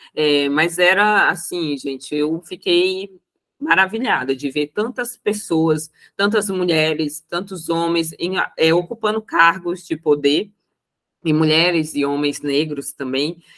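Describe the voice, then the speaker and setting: A woman with a strong Roraima accent and a fairly low pitch speaks at a very slow pace with ordinary pitch variation. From Brazil, Roraima. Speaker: accountant and mentor. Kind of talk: panel talk. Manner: hesitant, many fillers.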